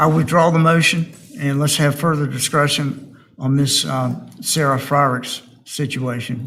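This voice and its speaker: A man mumbles at a moderate pace. His fairly high voice holds a fairly even intonation. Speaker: board chair. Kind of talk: public board hearing. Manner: mumbling; quiet.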